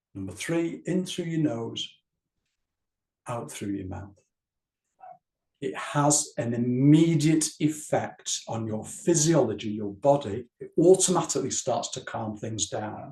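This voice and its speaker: A man with a dark, mellow tone and fairly high pitch, somewhat breathy, fairly slow, with lively intonation, big swings in loudness and long, frequent pauses. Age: 60s. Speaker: wellbeing trainer, former police officer. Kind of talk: tutorial. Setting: recorded to camera. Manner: slow, guided breathing instructions.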